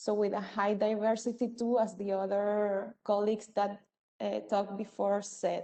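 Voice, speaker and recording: With a Spanish accent, a woman speaks in a medium pitch with a dark, mellow tone and monotone, flat intonation. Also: moderate pace. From Venezuela. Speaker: community intervention worker at an NGO. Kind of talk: presentation at a virtual event. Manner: halting, many fillers.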